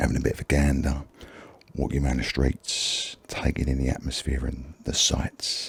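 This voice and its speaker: A man with a Cockney accent speaks in a very deep, low voice with monotone, flat intonation. Noticeable background noise can be heard. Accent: Cockney (London). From London, England. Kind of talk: ASMR gaming commentary.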